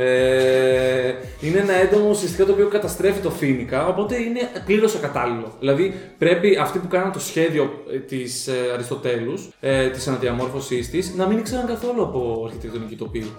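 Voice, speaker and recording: A man's fairly high voice with very wide pitch swings at a moderate pace, amid noticeable background noise and audible room echo. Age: 20s. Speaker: agronomy graduate and postgraduate student. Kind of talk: casual chat.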